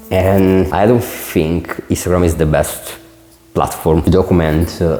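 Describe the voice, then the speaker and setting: A man with a very deep, low pitch and an Italian accent speaks with fairly even intonation over noticeable background noise. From Italy. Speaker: designer and entrepreneur vlogger. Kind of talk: unscripted vlog to camera. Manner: casual, many filler words.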